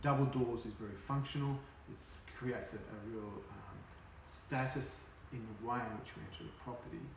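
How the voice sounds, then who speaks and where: A man's medium-pitched voice at a fairly quick pace, with long, frequent pauses, ordinary pitch variation, big swings in loudness, audible room echo and noticeable background noise. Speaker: real estate agent. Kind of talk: role-play sales appraisal. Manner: fast.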